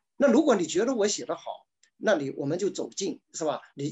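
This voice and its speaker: Over a quiet background, a man with a Chinese accent speaks very fast with lively intonation. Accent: Mandarin Chinese. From China. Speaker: novelist. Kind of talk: panel discussion. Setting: video call. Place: home room. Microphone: webcam.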